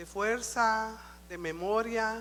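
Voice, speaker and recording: A woman's fairly high pitch comes through with audible room echo. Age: old. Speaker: church speaker. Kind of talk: sermon.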